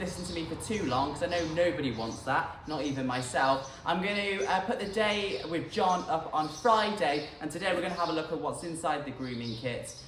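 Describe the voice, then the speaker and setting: Talking at a very fast pace with lively intonation, a man with a British accent is heard through audible room echo and noticeable background noise. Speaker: equestrian vlogger. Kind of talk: casual vlog. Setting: shop; farm. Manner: quiet.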